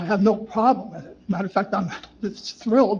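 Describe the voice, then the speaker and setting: Noticeable background noise runs under this recording. A man speaks in a high pitch with fairly even intonation. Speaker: resident speaking at public comment. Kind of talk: public comment at council meeting. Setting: municipal meeting room. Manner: halting, repetitive.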